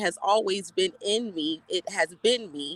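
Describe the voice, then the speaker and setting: A woman speaks at medium pitch with a bright, sharp tone. Her pace is fairly slow. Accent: American. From South Carolina Lowcountry (Beaufort), Gullah Geechee culture. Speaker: energy healer and health coach. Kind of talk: panel discussion introduction.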